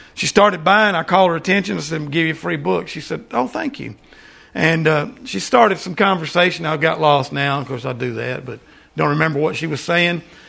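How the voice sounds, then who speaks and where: With a bright, sharp tone and vocal fry, a man speaks fairly quickly at a fairly high pitch with lively intonation. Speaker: preacher. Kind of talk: sermon. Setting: church.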